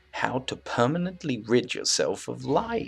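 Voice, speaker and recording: A man performs a put-on character voice. He delivers it at a fairly slow pace. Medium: read story. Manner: playful yet menacing.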